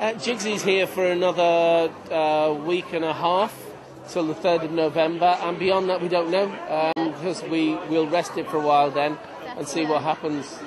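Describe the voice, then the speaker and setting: A man with a Scouse accent, high pitch, fairly even intonation and moderate pace amid noticeable background noise. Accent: mild Scouse. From Liverpool. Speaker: actor and comedian. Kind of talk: interview answer.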